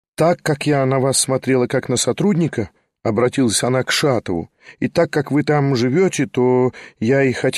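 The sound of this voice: In an unforced reading voice, the speaker reads against a quiet background.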